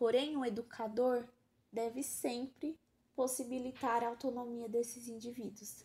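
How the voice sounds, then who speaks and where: A high-pitched woman with a dark, mellow tone speaks at a fairly slow pace with monotone, flat intonation. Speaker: pedagogy student. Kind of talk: student presentation. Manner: formal; halting.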